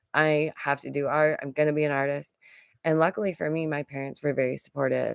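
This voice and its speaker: A woman with an American accent talks at a very fast pace in a very deep, low pitch and an animated tone, with a dry, close sound with no echo. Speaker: YouTuber, artist and art teacher. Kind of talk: casual commentary livestream. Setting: home stream recorded from computer. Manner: chatty, animated.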